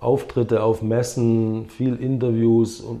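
The tone is dark and mellow. This man's pitch is medium. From Swabia, southern Germany (Herrenberg), some childhood years in America. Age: 50s. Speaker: former pro windsurfer and entrepreneur. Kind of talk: casual interview.

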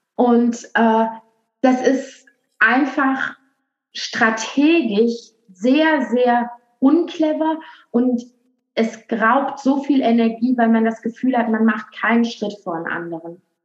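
A high-pitched woman's voice with a slight Rhineland accent, very slow with long, frequent pauses and ordinary pitch variation. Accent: slight western German (Rhineland). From western Germany, Aachen. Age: young. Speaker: marketing consultant. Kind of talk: podcast interview.

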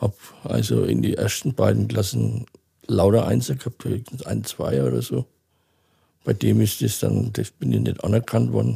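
At a moderate pace, a man speaks with long, frequent pauses in a dry, close sound with no echo. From Franconia, Germany (near Nuremberg). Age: 60s. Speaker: interview guest with dwarfism. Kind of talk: casual interview.

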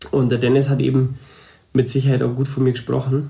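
A man's fairly quick, somewhat breathy voice, dark and mellow in tone, fairly high in pitch, with monotone, flat intonation. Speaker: hairdresser and salon owner. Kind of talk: casual interview.

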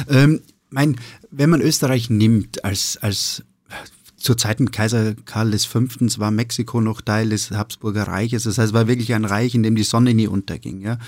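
The man speaks at a medium pitch and a moderate pace. His intonation is fairly even. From Austria, eastern Styria. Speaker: restaurateur and sommelier. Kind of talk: casual interview. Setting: studio. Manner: hesitant, many fillers.

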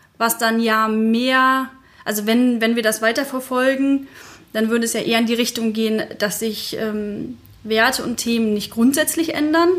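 A woman with a normal speaking voice talks at a moderate pace in a fairly high pitch, keeping her intonation fairly even. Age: 30s. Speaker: digital transformation consultant and blogger. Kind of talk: interview.

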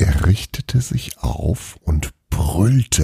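The background is quiet. The intonation is lively in this plain reading aloud.

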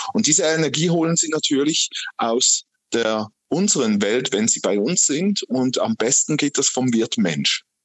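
The voice moves at a fairly slow pace with very wide pitch swings. Its loudness stays very even. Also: man, fairly high pitch for a man. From Switzerland, canton Aargau. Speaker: medium and ghost hunting club chair. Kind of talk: interview.

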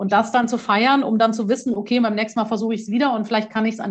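This woman's voice is fairly high and somewhat breathy, with a monotone, flat intonation. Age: 40s. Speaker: courage trainer and author. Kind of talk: casual interview.

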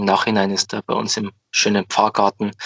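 The sound is dry and close with no echo as a man with a fairly low pitch talks at a moderate pace. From Bavaria, Upper Palatinate (Amberg). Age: 20s. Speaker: head altar server, student. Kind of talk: podcast interview.

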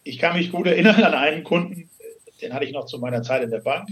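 Here is a man with an unremarkable speaking voice. His pitch is fairly high and his intonation lively. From Hesse, Germany. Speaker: financial and succession planner. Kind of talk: interview. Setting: phone call.

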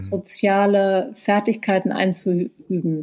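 A woman's medium-pitched voice, very cleanly recorded against a silent background. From Berlin, Germany. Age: 40s. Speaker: author and journalist. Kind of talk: interview. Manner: hesitant, many fillers.

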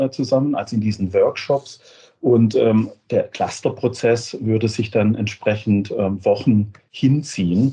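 Slow to a very great degree, a man speaks at a medium pitch with a dark, mellow tone that is somewhat breathy. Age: 50s. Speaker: software company managing director. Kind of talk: interview. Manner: halting, many repetitions and fillers.

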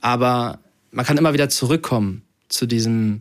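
In a very clean recording with a silent background, the speech unfolds at a very slow pace. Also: man. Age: 20s. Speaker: model and social media influencer. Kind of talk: casual interview. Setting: at home.

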